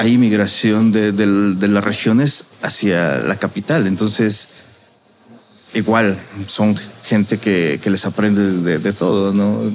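A man speaks very slowly at a fairly low pitch, his loudness staying very even throughout. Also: ordinary pitch variation. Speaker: restaurant chef. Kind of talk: casual interview.

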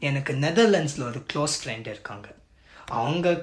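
His voice sits fairly high. The man's intonation is lively. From Japan, Tamil family. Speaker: music analyst / content creator. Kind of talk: casual interview conversation. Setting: video call.

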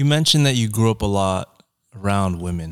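In a very clean recording with a silent background, a man with an American accent speaks in a normal speaking voice, fairly low in pitch, at a moderate pace. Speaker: podcast host. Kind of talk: casual interview chat. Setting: studio podcast.

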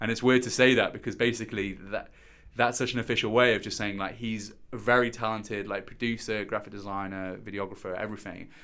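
A man with a fairly low pitch and a bright, sharp tone races along at a very fast pace in a monotone, flat intonation. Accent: West Midlands. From West Midlands, England (Stourbridge, near Birmingham). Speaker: digital marketing executive and DJ. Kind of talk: casual interview.

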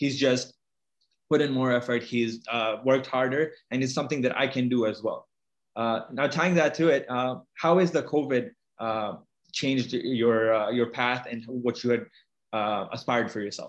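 Against a quiet background, a man with a plain, everyday voice talks at a medium pitch and a moderate pace, with fairly even intonation. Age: 20s. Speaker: podcast host. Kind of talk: podcast interview.

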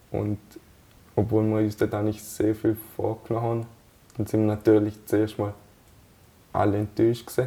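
At a moderate pace, a man speaks in a fairly low, dark, mellow, somewhat breathy voice with monotone, flat intonation and long, frequent pauses. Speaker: national team footballer. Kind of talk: interview. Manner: hesitant, many fillers.

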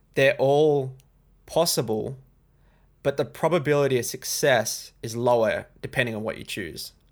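Against a silent background in a very clean recording, a man with an Australian accent talks at a moderate pace with medium pitch and ordinary pitch variation. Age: 20s. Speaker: trading YouTuber. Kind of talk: casual chat.

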